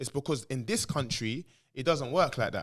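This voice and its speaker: A man with a London accent talks at a fairly quick pace in an animated tone, at a fairly high pitch with ordinary pitch variation. The recording is very clean, with a silent background. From England. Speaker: former footballer. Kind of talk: casual chat. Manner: loud.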